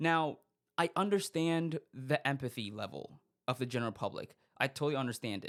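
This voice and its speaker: Lively intonation marks a man's fairly high, fairly quick speech in a very clean recording with a silent background. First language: not English. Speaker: podcast host. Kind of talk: casual monologue commentary. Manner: halting, frequent fillers and restarts.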